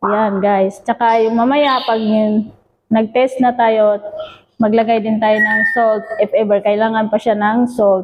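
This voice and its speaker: A woman with a fairly high pitch speaks fairly slowly in a monotone, flat intonation at very even loudness. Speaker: cooking vlogger. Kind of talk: cooking tutorial vlog. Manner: halting, filler-heavy.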